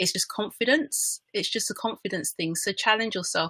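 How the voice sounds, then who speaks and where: In a British accent, a woman with a bright, sharp tone speaks at a moderate pace with ordinary pitch variation, the sound dry and close with no echo. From England. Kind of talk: panel discussion.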